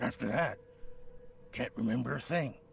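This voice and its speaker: A raspy, put-on character voice moves at a moderate pace. Clear background noise is present. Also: man. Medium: video game. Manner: nervous, defensive.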